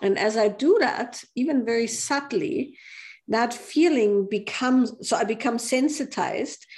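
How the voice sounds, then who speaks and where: A woman's high-pitched voice with a German accent, fairly slow pace, lively intonation and very even loudness. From Austria. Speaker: author and women's group teacher. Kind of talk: interview.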